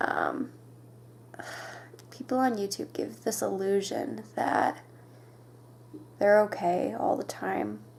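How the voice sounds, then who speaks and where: A woman speaks quietly at a very slow pace. Long pauses come often. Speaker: vlogger. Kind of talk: personal confessional vlog. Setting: bedroom at night. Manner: halting.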